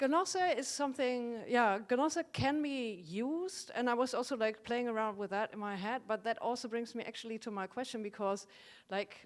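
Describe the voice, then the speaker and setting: In a German accent, a woman speaks at a high pitch and a moderate pace with lively intonation. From Germany. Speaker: audience member. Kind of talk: audience question. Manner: hesitant.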